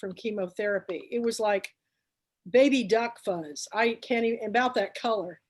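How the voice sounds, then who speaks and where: The recording is very clean with a silent background, and the speech has ordinary pitch variation at a moderate pace. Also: woman. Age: 60s. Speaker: book club founder and show host. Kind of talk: casual chat. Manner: animated.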